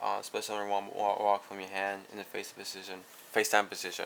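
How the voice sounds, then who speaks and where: A man at a fairly low pitch and moderate pace, with noticeable background noise. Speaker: card game YouTuber. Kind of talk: deck profile tutorial. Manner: halting, self-correcting.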